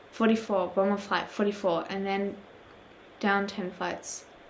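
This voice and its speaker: Noticeable background noise runs through the clip. Room echo is audible as well. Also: woman. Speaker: YouTuber reading horror stories. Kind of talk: reading aloud with commentary. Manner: halting, stumbles over words; quiet.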